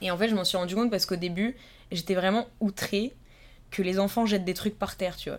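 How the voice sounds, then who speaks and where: A woman with an unremarkable speaking voice, medium-pitched with fairly even intonation, at a fairly quick pace in a very clean recording with a silent background. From France, Yvelines (Paris south suburbs). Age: 20s. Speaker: student and Instagram creator. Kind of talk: casual interview chat. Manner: casual, filler-heavy.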